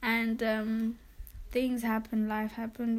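A woman talks at a fairly high pitch, somewhat breathy. Her pace is fairly slow and her intonation monotone and flat. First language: not English. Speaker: podcast co-host. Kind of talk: casual chat.

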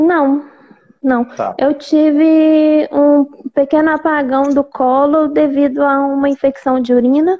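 Very slowly, a woman speaks at a high pitch with monotone, flat intonation. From Belo Horizonte, Brazil. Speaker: pregnant caller. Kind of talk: live Q&A call-in.

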